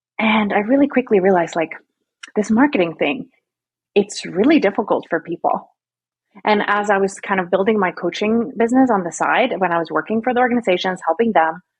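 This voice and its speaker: With a slight Swedish accent, a woman talks fairly quickly at a medium pitch, her intonation lively and her voice somewhat breathy. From Sweden. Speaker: marketing strategist. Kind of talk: podcast interview. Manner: casual, chatty.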